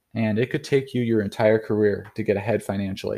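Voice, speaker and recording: In a very clean recording with a silent background, a man with a medium pitch and a dark, mellow tone talks at a fairly quick pace. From North Idaho. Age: 30s. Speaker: podcast host and chiropractic student. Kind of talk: solo monologue podcast. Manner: casual, with frequent fillers.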